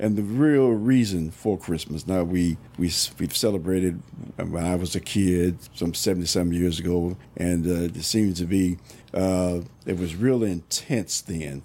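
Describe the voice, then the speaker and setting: A very deep, low male voice with a dark, mellow tone, ordinary pitch variation and a moderate pace. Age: 70s. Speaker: church minister. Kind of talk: religious discussion. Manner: halting.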